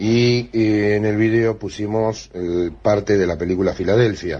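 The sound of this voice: The pace is slow. The tone is slightly mellow. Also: man.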